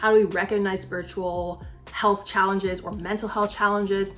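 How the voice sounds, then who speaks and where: A woman speaks at a moderate pace in an upbeat tone and medium pitch, with music playing in the background. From Barbados. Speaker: psychiatry resident. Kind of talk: casual talk to camera.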